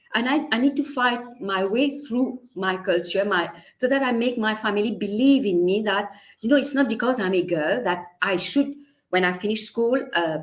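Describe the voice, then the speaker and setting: With a Mauritian accent, a woman speaks at a moderate pace. Her fairly high voice has lively intonation. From Mauritius. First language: Mauritian Creole. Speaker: teacher and storyteller. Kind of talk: interview. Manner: halting.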